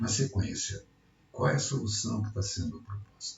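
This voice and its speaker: Somewhat breathy and fairly low in pitch, a man speaks at a fairly slow pace with lively intonation. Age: 60s. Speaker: retired electrical engineer. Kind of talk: project pitch presentation.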